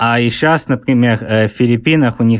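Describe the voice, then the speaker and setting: A man speaks at a moderate pace. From England (born in Leningrad, moved around). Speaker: author. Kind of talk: interview. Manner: halting, with many fillers.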